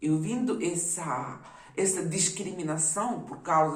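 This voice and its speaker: Noticeable background noise and audible room echo around a woman talking at a very slow pace. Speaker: YouTuber. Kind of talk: personal testimony.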